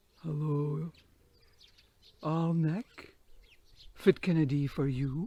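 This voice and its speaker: Using a put-on character voice at a middle pitch, the speaker goes at a very slow pace with long, frequent pauses. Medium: read story.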